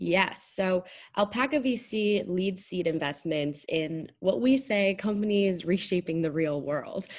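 An ordinary speaking voice from a woman, medium in pitch, fairly slow, with ordinary pitch variation. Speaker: venture fund marketing and operations lead. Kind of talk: casual interview.

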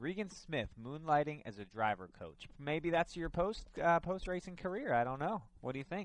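This man has an unremarkable speaking voice with lively intonation. He talks at a moderate pace with hardly any pauses. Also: fairly high pitch for a man. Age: 20s. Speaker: motorsports radio host. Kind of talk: casual chat. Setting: studio.

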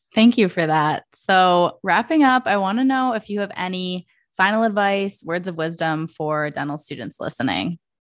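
A woman with an American accent has a plain, everyday voice at a medium pitch, with lively intonation. She keeps a moderate pace with hardly any pauses against a quiet background. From Michigan. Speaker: podcast host. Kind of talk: podcast interview.

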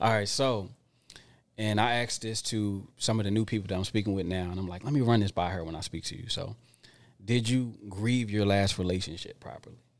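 A man with an American accent talks at a fairly quick pace in an unremarkable speaking voice, fairly low and with ordinary pitch variation. The recording is very clean, with a silent background. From Philadelphia area, Pennsylvania. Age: 30s. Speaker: podcast guest, dating talk. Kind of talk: casual chat. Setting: studio.

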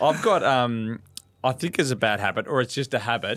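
The speaker is a man going at a very fast pace. His pitch variation is ordinary. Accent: Australian. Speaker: podcast co-host. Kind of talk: casual chat.

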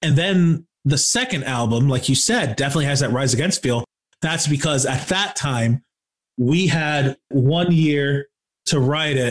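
Somewhat breathy, the voice speaks at a moderate pace with an American accent and ordinary pitch variation. The sound is dry and close, with no echo. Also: man. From Michigan, Kalamazoo. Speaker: rock band musician and podcaster. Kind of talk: casual interview chat.

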